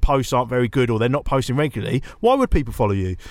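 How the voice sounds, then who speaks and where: A man talks at a very fast pace in an English accent. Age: 30s. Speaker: car content creator. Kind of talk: casual chat.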